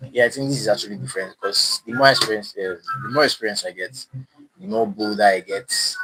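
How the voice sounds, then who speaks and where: With music playing underneath, a man talks fairly quickly. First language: not English. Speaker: DIY maker streamer. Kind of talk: live stream demo. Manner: halting.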